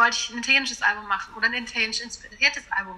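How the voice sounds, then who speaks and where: A woman talks at a very fast pace in a high voice. Noticeable background noise can be heard. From western Germany, small town. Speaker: singer. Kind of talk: interview.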